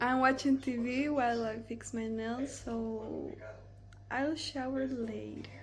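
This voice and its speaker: In a Costa Rican accent, a woman speaks at a high pitch and a very slow pace. Audible room echo and noticeable background noise fill the recording. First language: Spanish. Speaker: vlogger. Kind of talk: casual vlog narration.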